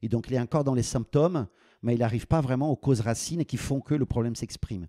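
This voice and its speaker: A man speaks at a fairly quick pace in a medium pitch, his tone dark and mellow. His pitch varies in an ordinary way, and the sound is dry and close with no echo. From Brazil. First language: Portuguese (speaking French). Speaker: business school dean. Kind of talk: podcast interview. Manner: halting, many repetitions and fillers.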